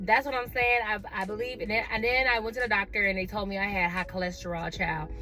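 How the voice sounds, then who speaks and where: A woman's animated, fairly quick delivery with hardly any pauses, music in the background. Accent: American. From Atlanta, US South. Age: 30s. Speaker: vlogger. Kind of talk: casual chat.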